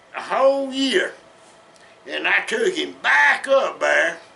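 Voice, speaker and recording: Over noticeable background noise, a man with a Southern US accent speaks at a very slow pace. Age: 70s. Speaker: storyteller. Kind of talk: casual storytelling. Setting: at home in den. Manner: folksy, halting.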